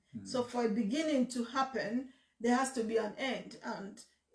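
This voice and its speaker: A woman speaks at a high pitch, with audible room echo over a quiet background. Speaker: pastor hosting a question session. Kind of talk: sermon-like teaching chat. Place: home room. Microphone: phone near.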